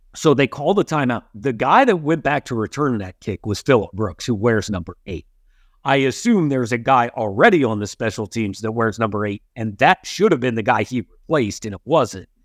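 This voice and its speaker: A man with a plain, everyday voice talks at a fairly quick pace and a medium pitch. The sound is dry and close with no echo, against a quiet background. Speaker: sports podcast host. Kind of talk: casual sports talk.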